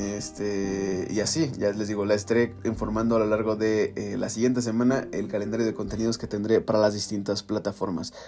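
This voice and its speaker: With music playing in the background, a man with a Mexican accent talks at a fairly quick pace in a fairly low pitch, his intonation fairly even. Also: hardly any pauses. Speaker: news podcaster. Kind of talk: news reading; casual chat.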